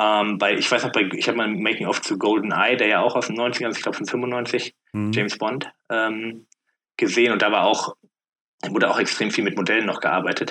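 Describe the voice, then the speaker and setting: At a fairly quick pace, a man speaks at medium pitch with monotone, flat intonation. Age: 30s. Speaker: podcast guest. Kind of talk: casual chat.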